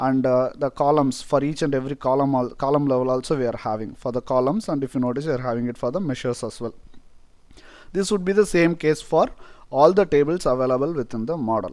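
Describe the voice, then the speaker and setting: Very fast speech in a Tamil accent, with ordinary pitch variation, on a very clean recording with a silent background. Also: man, fairly high pitch for a man. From India, Tamil-speaking. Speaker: software tutorial presenter. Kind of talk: tutorial. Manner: hesitant, many fillers.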